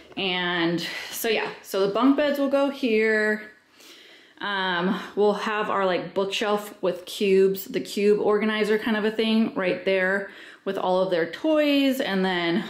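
A woman speaks at a very slow pace with ordinary pitch variation. Room echo is audible. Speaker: homeowner vlogger. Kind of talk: casual vlog chat. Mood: excited, happy. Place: home room. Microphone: phone near.

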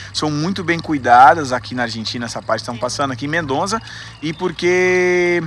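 A man talks at a fairly quick pace, with a dry sound free of echo and light background noise. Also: lively intonation. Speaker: travel vlogger. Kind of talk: casual vlog chat. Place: street. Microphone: phone near.

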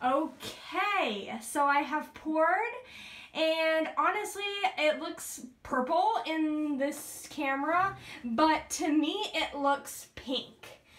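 The speech moves at a very slow pace. Its pitch variation is ordinary. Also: woman, high pitch for a woman. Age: 20s. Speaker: vlogger. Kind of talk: casual vlog to camera. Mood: playful, curious. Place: bathroom. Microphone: phone near.

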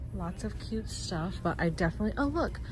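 A woman speaks in a dry, echo-free sound over noticeable background noise. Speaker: lifestyle vlogger. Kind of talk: casual vlog chat. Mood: cheerful, delighted. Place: shop. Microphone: phone near.

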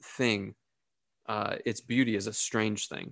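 A man's fairly slow speech, dry with no echo. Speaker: pastor. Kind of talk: sermon. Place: home room. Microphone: studio mic.

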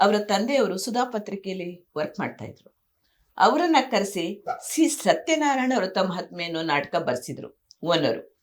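A woman's medium-pitched voice with very wide pitch swings and big swings in loudness. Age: 70s. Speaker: veteran stage and TV actress. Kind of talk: interview. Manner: animated.

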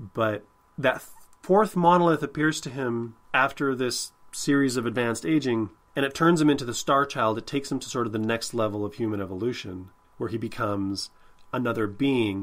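At a moderate pace, a man with a medium pitch speaks with ordinary pitch variation.

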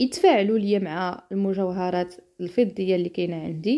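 Speaking at a fairly slow pace, a woman talks in a Moroccan accent. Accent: Moroccan Darija. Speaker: lifestyle vlogger. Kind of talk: tutorial. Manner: halting.

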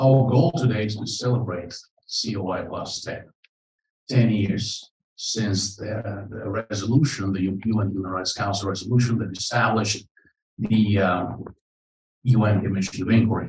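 This man's voice is fairly low and somewhat breathy, with fairly even intonation, a moderate pace and long, frequent pauses. Light background noise and audible room echo are present. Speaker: conference MC. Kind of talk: welcoming remarks speech. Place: hall.

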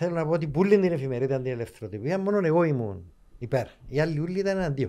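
Against a quiet background, a man with a fairly high pitch and a dark, mellow tone talks at a very fast pace with lively intonation. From Cyprus. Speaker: author and journalist; journalist. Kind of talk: interview. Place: studio. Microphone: studio mic.

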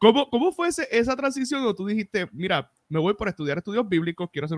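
A man with a Puerto Rican accent talks at a fairly quick pace with lively intonation, in a dry sound with no echo and a quiet background. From Puerto Rico. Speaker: podcast host; podcast host interviewer. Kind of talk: casual interview. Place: home room. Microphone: studio mic.

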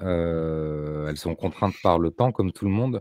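In a dry, echo-free sound with a quiet background, a man speaks at a fairly slow pace in a very deep, low, dark, mellow voice with fairly even intonation. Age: 40s. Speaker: homesteading content creator; podcast guest. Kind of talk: casual chat. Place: home room.

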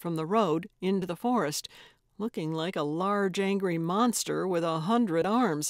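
Its pitch varying by an ordinary amount, a natural reading voice carries the text.

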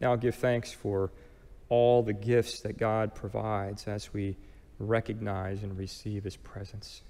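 A man speaks at a fairly slow pace in a warm, dark, mellow tone, his intonation monotone and flat. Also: fairly low pitch for a man. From US. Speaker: pastor. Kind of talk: sermon. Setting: church. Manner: calm, gentle, guiding, meditative pace during the prayer exercise; warm, earnest, conversational preacher. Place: church. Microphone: headset.

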